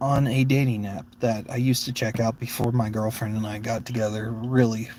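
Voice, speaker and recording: With an American accent, the voice sounds somewhat breathy with a dark, mellow tone at a moderate pace. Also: man. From Florida. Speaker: streamer. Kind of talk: casual opinion monologue. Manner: halting.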